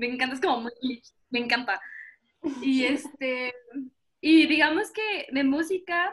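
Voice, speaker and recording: High-pitched woman at a fairly slow pace, lively in intonation, with long, frequent pauses. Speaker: artist and student. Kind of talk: interview. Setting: video call.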